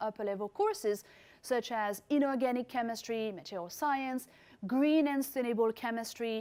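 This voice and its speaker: A woman speaks in a French accent. Her pitch is fairly high. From France. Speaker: chemistry professor. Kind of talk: recorded presentation. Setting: remote presentation.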